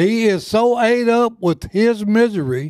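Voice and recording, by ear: A man speaks at a fairly slow pace in a high, slightly mellow voice with lively intonation. The recording is very clean, with a silent background.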